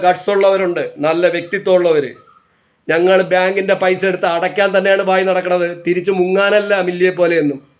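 A man with a high pitch speaks in a monotone, flat intonation at very even loudness. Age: 40s. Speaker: vlogger. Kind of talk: monologue vlog rant. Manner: impassioned.

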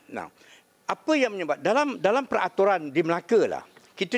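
A man speaks at a high pitch. His voice moves through very wide pitch swings. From Malaysia. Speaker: state assembly speaker, audience questioner; speaker, questioner. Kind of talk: audience question. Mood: jovial, joking. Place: hall. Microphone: podium.

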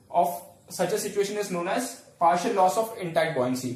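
There is audible room echo around a man speaking at a high pitch. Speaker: teacher. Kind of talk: lecture. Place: home room. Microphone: camera far.

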